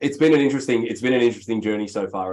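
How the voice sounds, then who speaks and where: His intonation holds fairly even. This man talks in an Australian accent. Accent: Australian, noticeable. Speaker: real estate executive. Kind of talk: interview.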